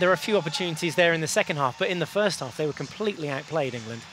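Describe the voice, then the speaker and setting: Very fast speech from a man, pitched fairly high, ordinary in its pitch variation, over noticeable background noise. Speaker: sports presenter. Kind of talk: live TV sports presenter link.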